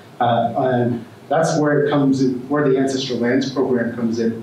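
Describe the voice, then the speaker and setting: At a moderate pace, a man speaks in a monotone, flat intonation, with audible room echo and light background noise. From Wind River and Pine Ridge reservations; US. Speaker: conservation corps coordinator; speaker. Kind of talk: presentation. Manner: halting. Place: hall.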